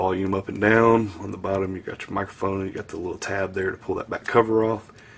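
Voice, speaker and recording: With a Southern US accent, a man talks at a fairly quick pace in a fairly low pitch. His intonation is monotone and flat, with noticeable background noise behind him. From US South. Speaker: tech reviewer. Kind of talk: product review tutorial. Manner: casual, filler-heavy.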